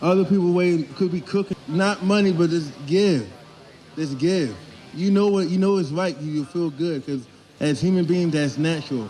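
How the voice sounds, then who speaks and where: A man talks at a high pitch. Noticeable background noise runs underneath. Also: ordinary pitch variation, moderate pace. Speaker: street interviewee at protest. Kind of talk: impassioned street speech.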